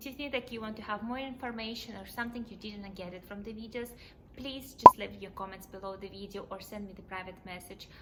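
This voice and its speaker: A woman speaks at a medium pitch with ordinary pitch variation. Noticeable background noise and audible room echo are present. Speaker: immigration vlogger. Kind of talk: tutorial. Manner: fast.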